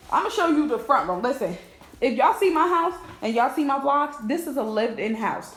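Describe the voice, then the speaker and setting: A woman's high-pitched voice at a fairly quick pace, with audible room echo and noticeable background noise. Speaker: lifestyle vlogger. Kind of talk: casual vlog talk. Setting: at home. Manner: fast.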